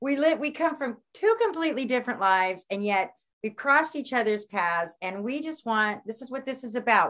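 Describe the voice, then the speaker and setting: Speaking at a fairly quick pace, a woman uses lively intonation. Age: 50s. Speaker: astrologer and author. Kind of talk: casual chat.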